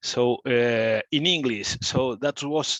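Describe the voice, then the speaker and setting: Someone with a Spanish accent speaks with ordinary pitch variation in a dry, close sound with no echo and a quiet background. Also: man. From Spain, small village south of Madrid. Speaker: architect and professor. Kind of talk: guest talk on video call. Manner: halting, non-fluent English.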